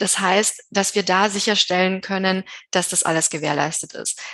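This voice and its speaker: Against a quiet background, a woman talks fairly slowly at a medium pitch with monotone, flat intonation. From Bavaria, Germany. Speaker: tax advisor. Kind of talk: interview. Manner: hesitant with many fillers.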